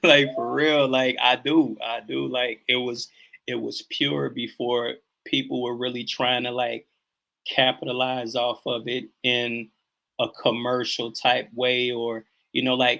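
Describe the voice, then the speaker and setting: A man speaks at a fairly slow pace with a strong Southern US accent, his intonation monotone and flat. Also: medium pitch for a man. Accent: heavy Southern country twang. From US Midwest. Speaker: hip hop artist. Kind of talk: interview. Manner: slow speech.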